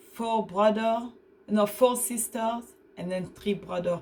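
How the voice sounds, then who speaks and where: A woman's somewhat breathy voice moves through ordinary pitch variation. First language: French or an African language. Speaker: vlogger. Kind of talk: personal testimony. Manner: halting, searching for English words.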